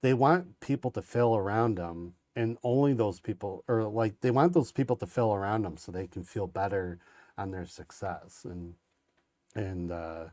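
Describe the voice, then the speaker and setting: On a very clean recording with a silent background, a man with a dark, mellow tone speaks at a moderate pace and fairly low pitch, with ordinary pitch variation and big swings in loudness. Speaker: podcast host. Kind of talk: casual chat. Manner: halting, many repeated words.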